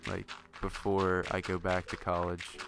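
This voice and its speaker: Against noticeable background noise, a man talks in a flat monotone with a very deep, low pitch. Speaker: gaming video creator. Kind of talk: casual chat. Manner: slurs some words; hesitant, many fillers.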